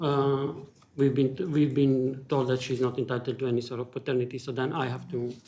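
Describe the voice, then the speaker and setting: A man speaks fairly quickly with a non-native accent. His medium-pitched voice stays monotone, with flat intonation. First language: not English. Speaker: charity service user and volunteer. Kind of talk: public hearing testimony. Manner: halting.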